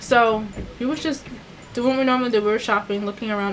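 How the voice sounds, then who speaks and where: A woman's fairly high-pitched voice with ordinary pitch variation, over noticeable background noise. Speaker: beauty vlogger, former retail worker. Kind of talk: storytime vlog. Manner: fast; casual, conversational.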